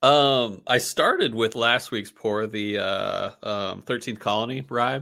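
A medium-pitched man's voice, bright and sharp in tone, on a very clean recording with a silent background. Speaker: whiskey podcast co-host. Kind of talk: casual chat. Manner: fast; animated.

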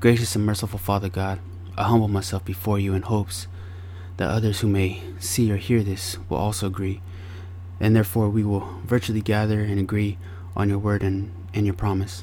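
Somewhat breathy and dark, mellow in tone, a man with an American accent speaks at a moderate pace with monotone, flat intonation. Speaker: podcast host. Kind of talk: fervent prayer, opening the show with a spoken prayer; podcast monologue, solo address. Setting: home recording with air purifier noise. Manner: earnest, heavy-hearted, reverent.

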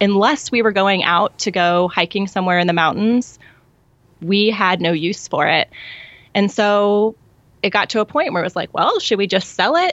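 Speaking with an American accent at a moderate pace, a woman uses a medium pitch, ordinary pitch variation and very even loudness, with long, frequent pauses. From US Midwest. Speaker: podcast host and parent. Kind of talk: casual interview chat. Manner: measured and focused.

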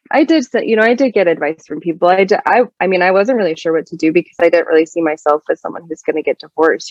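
A woman talks at a very fast pace with an American accent. Her pitch is fairly low and varies in an ordinary way. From Utah, US. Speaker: singer-songwriter and artist. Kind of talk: casual interview.

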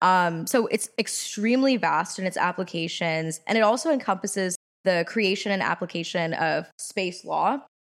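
On a very clean recording with a silent background, a woman with an American accent uses a normal speaking voice, ordinary pitch variation and hardly any pauses. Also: medium pitch for a woman, moderate pace. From Washington, D.C. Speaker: podcast co-host, university student. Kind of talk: casual chat.

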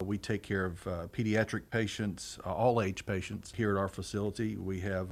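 A fairly low-pitched man in a Southern US accent, fairly quick and monotone, on a very clean recording with a silent background. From rural eastern Arkansas. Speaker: hospital chief executive. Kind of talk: interview. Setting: on location at a hospital.

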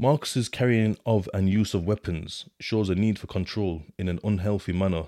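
On a very clean recording with a silent background, a man speaks with a very deep, low pitch, a dark, mellow tone and ordinary pitch variation. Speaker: podcaster discussing his time in prison and therapy. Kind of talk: casual monologue, podcast reflecting on therapy report. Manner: animated, colloquial.

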